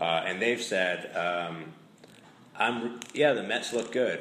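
With audible room echo around him, a man speaks at a very slow pace with lively intonation. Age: 30s. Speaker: sports podcast host. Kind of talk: casual chat.

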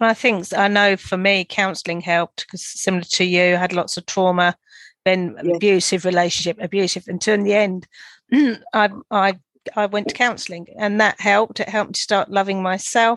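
Delivered at a fairly quick pace, a normal speaking voice with fairly even intonation comes through dry and close, with no echo and a quiet background. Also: woman, medium pitch for a woman. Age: 50s. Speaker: podcast host. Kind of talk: casual chat; scripted narration.

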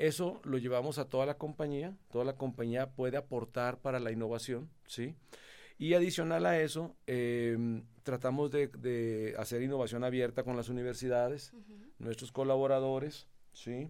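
On a very clean recording with a silent background, a man with a dark, mellow tone speaks at a moderate pace with ordinary pitch variation. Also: medium pitch for a man. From Mexico, Monterrey. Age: 50s. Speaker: company president. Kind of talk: interview.

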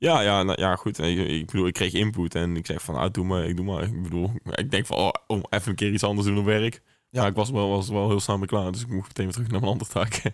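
On a very clean recording with a silent background, a man with a fairly low pitch and ordinary pitch variation talks very fast with hardly any pauses. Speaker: podcast co-host. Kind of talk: casual chat.

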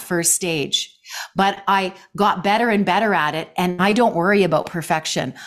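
A woman has a normal speaking voice at medium pitch, with ordinary pitch variation and a moderate pace. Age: 60s. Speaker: life coach and jazz singer. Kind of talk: interview conversation.

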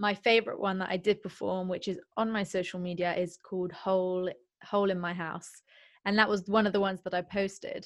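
Over a quiet background, a woman at medium pitch speaks at a fairly quick pace with monotone, flat intonation. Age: 20s. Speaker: singer-songwriter. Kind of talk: casual interview chat.

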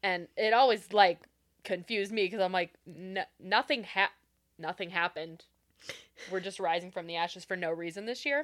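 A woman's medium-pitched voice with a Pacific Northwest accent, at a moderate pace, in dry, close sound with no echo. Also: ordinary pitch variation. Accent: Pacific Northwest American. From Renton, Washington State. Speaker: podcast co-host. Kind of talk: casual chat.

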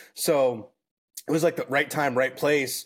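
On a very clean recording with a silent background, a man with an American accent uses an ordinary speaking voice, keeping fairly even intonation at a moderate pace. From Minnesota, US Midwest. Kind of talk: casual chat.

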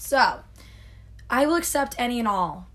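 A woman's voice carries audible room echo. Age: 20s. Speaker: podcast co-host, college student. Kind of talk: casual chat. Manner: hesitant, many fillers.

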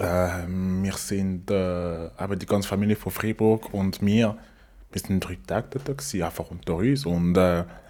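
A man's very deep, low voice moves with ordinary pitch variation. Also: moderate pace. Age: 30s. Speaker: podcast guest. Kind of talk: casual chat.

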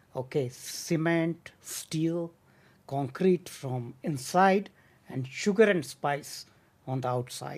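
A man's fairly high voice at a very slow pace. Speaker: podcast host. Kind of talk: interview. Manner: formal.

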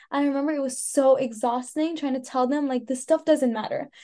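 A woman speaks in a General American accent at a high pitch. Her pitch varies in an ordinary way. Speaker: podcast co-host. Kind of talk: casual chat.

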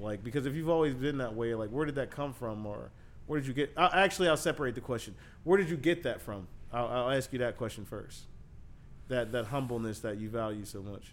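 Ordinary pitch variation and a fairly quick pace from a man at medium pitch, in a normal speaking voice. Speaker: podcast host. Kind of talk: interview.

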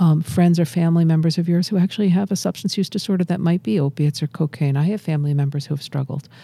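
A woman speaks very fast with hardly any pauses, her fairly low voice somewhat breathy with a dark, mellow tone. Her pitch varies in an ordinary way. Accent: American. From Massachusetts. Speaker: addiction medicine physician. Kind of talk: interview. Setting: studio.

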